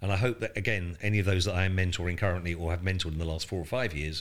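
Somewhat breathy speech with a southern English accent comes at a very fast pace with fairly even intonation on a very clean recording with a silent background. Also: man. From southern England coast. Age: 60s. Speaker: retail executive and startup mentor. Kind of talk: interview. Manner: halting, repeats words.

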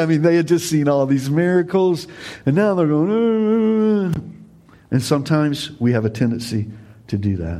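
Speaking with an American accent, a man with a fairly high pitch and a dark, mellow tone moves through very wide pitch swings amid audible room echo. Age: 50s. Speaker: pastor. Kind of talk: sermon. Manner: animated.

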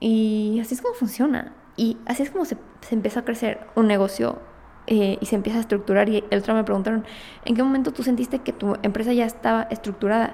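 This woman talks at a very fast pace in a Mexican accent. Her pitch is fairly high and her intonation fairly even. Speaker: podcast host and entrepreneur. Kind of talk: casual monologue.

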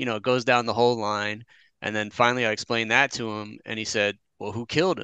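Recorded dry and close with no echo against a quiet background, a man talks at a very fast pace in a medium pitch, his tone bright and sharp and his intonation fairly even. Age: 40s. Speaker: podcast co-host. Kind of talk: casual chat.

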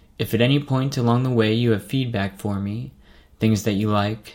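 A very clean recording with a silent background of a man at medium pitch, with ordinary pitch variation and a moderate pace. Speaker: medical resident and podcast host. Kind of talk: scripted monologue. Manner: clear.

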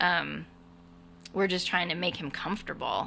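A woman with an American accent and vocal fry at a moderate pace. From Southern California (Burbank). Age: 50s. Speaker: veterinary nurse, widow sharing her story. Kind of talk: interview testimony.

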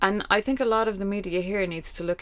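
Speaking at a fairly quick pace, a woman has an Irish accent. Her pitch sits in the medium range. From Ireland. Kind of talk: casual chat.

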